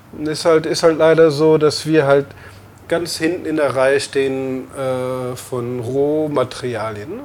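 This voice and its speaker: Against noticeable background noise, a man speaks with fairly high pitch and fairly even intonation. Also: fairly slow pace. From Lower Rhine, Germany (Emmerich). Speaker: brewer and restaurant owner. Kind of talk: interview. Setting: in a bar. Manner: hesitant, many fillers.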